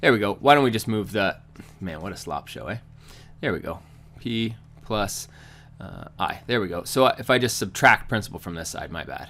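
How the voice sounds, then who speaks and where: Fairly low in pitch, a man talks with ordinary pitch variation and long, frequent pauses. His loudness swings widely, and music plays in the background. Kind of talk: tutorial. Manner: fast; casual.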